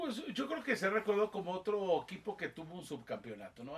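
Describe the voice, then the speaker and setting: A man talks in an animated tone. His pace is fairly quick. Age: 60s. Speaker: football commentator. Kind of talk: interview.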